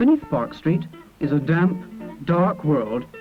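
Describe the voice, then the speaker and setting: A man with a Bristolian accent, fairly high-pitched and lively in intonation, over music in the background. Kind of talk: documentary narration.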